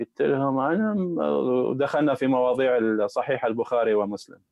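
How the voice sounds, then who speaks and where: Speaking at a fairly slow pace, a man makes very wide pitch swings in a dry recording with no echo. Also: quiet background. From Iraq, Baghdad; Iraq. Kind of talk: live-streamed interview. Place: home room. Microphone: earbuds.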